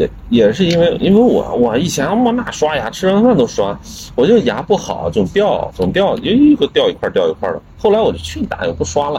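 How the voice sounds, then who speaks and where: Fairly quick speech with hardly any pauses over noticeable background noise. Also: man. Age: 40s. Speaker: blues musician and guitarist. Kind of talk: casual chat.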